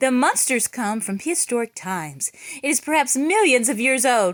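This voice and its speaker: A woman uses a put-on character voice with a high pitch, talking at a moderate pace. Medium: read story.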